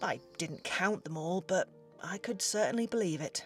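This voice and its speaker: Over music in the background, a woman with a British accent speaks at a moderate pace with lively intonation. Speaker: voice actor. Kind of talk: travel vlog talk to camera.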